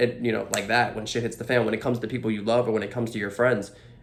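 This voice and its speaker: There is audible room echo as a man talks in a medium pitch. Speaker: actor. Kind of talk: interview. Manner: stammering, many repeated words; loud, energetic.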